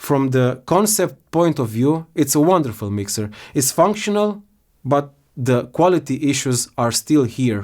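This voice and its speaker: Someone with a non-native accent talks at a fairly slow pace with lively intonation on a very clean recording with a silent background. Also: man. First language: not English. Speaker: product reviewer. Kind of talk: product complaint review. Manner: halting.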